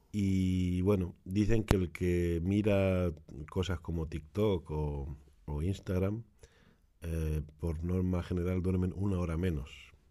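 Very slow and very deep, a man's low voice has a dark, mellow tone and fairly even intonation. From Spain, Granada (Andalusia). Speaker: shop owner selling Spanish delicacies. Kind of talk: casual chat. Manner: halting.

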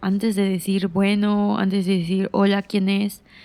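This is a woman speaking at a medium pitch. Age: 20s. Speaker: podcaster. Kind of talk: personal storytelling monologue.

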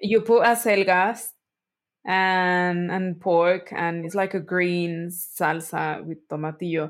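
In a Spanish accent, a woman with a fairly low voice talks very slowly and with fairly even intonation over a very clean recording with a silent background. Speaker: podcast host, food anthropologist. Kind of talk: casual chat. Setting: live recording.

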